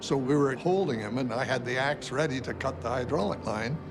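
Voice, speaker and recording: With music in the background, a man speaks at a moderate pace and medium pitch, with ordinary pitch variation. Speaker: WWII bomber aircrew veteran. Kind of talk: testimony.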